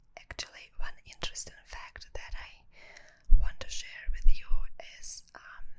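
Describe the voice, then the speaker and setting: This is a woman whispering. Her tempo is fairly slow. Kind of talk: ASMR whispered meditation talk. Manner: whispered.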